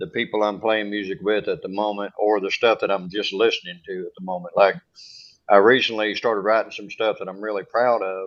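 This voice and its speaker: Fairly even intonation in a Kentucky accent. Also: man. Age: 40s. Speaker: singer-songwriter, audience member. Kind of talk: casual chat.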